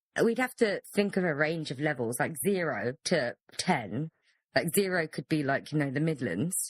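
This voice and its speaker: Against a quiet background, a woman with a British accent speaks in a very deep, low voice with very wide pitch swings, the sound dry and close with no echo. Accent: British accent, sometimes taken for Surrey. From London. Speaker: podcast co-host. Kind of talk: casual chat. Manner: fast.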